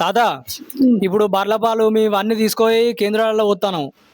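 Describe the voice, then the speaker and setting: The speaker is a man with a high-pitched voice. His intonation stays fairly even. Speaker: village interviewer, vlogger. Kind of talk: casual interview questions.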